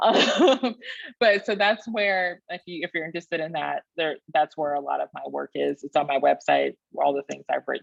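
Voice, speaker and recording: A woman in a Texan accent talks at a moderate pace, the sound dry and close with no echo. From rural Texas. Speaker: historian, PhD candidate. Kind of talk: Q&A after academic talk.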